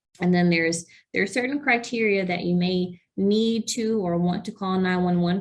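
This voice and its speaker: A woman with an ordinary speaking voice at medium pitch, moderate pace and ordinary pitch variation. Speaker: program coordinator for nonprofit health foundation. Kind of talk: webinar presentation.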